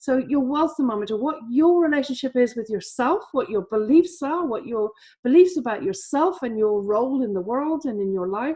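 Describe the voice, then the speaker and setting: The speech runs at a moderate pace with lively intonation. Pauses hardly occur. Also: woman, high pitch for a woman. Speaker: trading educator. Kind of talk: webinar presentation. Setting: online webinar.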